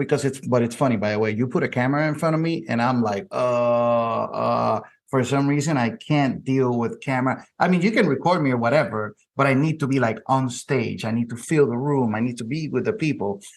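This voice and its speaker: A man with a Spanish accent speaks at a fairly quick pace with hardly any pauses. His pitch is medium, with ordinary variation. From Puerto Rico. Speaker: podcast host and insurance keynote speaker. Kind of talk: interview.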